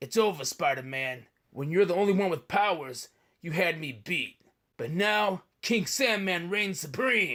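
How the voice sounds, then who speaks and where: A man speaks in a cartoonish character voice. His pitch is high. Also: moderate pace. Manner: menacing, taunting.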